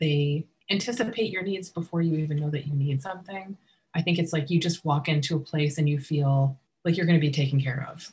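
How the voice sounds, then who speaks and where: A woman speaks at a fairly quick pace with a very deep, low pitch. Her voice is somewhat breathy, and her pitch varies in an ordinary way. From US Northeast (western Massachusetts), partly California. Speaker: wedding and event planner. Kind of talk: casual interview.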